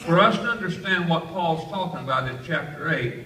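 Audible room echo around a man's moderate-paced speech. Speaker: pastor. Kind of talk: sermon. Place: hall.

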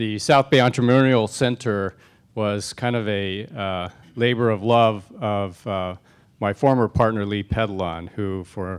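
A man speaks fairly slowly at a fairly low pitch, in an ordinary speaking voice. His pitch varies in an ordinary way. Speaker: panel moderator. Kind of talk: event opening remarks. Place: hall. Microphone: handheld.

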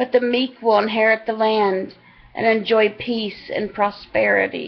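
Her voice sits fairly high, and the speaker is a woman. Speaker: online Bible reader. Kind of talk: reading aloud. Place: home room. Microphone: webcam.

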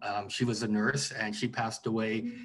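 A man with a Canadian accent speaks at a moderate pace in a medium pitch. The background is quiet. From Vancouver, Canada; British Columbia, Canada. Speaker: writer and historian; interviewee. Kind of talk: interview. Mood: calm, reflective. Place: home room. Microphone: video call.

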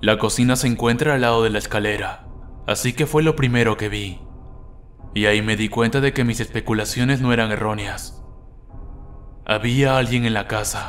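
A man's medium-pitched voice with fairly even intonation and moderate pace, marked by long, frequent pauses, with music in the background. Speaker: creepypasta narrator. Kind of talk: first-person horror story narration, bedtime ghost story telling.

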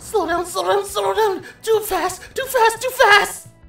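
A put-on character voice, extremely high in pitch and panicked in tone, moves at a fairly slow pace over faint music in the background. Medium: dub. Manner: panicked, excitable.

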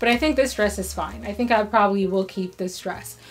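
Over faint background music, a woman talks at a fairly quick pace with ordinary pitch variation. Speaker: fashion vlogger. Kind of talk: casual vlog chat. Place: home room.

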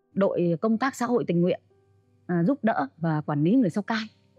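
A woman talks at a fairly slow pace. The sound is dry with no echo, and faint music plays in the background. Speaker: talk show guest. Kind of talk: interview answer. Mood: animated storytelling. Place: studio. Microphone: lapel.

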